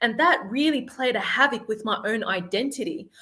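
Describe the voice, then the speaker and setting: This woman has an Australian accent and a high, bright, sharp voice. She talks at a moderate pace with ordinary pitch variation. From Sydney, Australia. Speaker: life confidence coach. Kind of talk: podcast interview.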